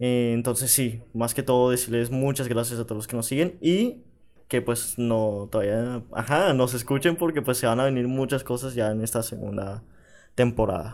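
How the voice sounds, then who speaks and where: In a very clean recording with a silent background, a plain, everyday voice speaks at a moderate pace with ordinary pitch variation. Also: man, medium pitch for a man. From Panama. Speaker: podcast co-host. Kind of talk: casual chat.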